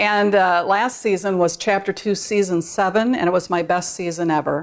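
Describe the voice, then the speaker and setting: This woman has an ordinary speaking voice, fairly low in pitch and fairly even in intonation. She talks at a moderate pace against a quiet background. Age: 60s. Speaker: gaming video creator. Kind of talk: tutorial. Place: home room.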